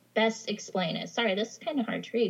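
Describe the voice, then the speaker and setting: With an American accent, a woman talks at a fairly high pitch, somewhat breathy, with ordinary pitch variation. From Idaho. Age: 30s. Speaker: podcast listener sharing paranormal stories. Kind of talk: casual chat.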